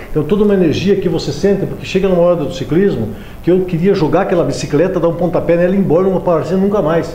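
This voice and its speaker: A man's high-pitched voice at a very fast pace, with audible room echo and noticeable background noise. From Paraná, Brazil. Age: 60s. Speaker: amateur triathlete and physical education teacher. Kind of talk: interview.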